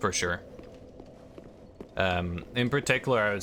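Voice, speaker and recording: At a moderate pace, a man delivers his words. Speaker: video game streamer. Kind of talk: live gameplay commentary with chat. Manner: casual, hesitant with fillers.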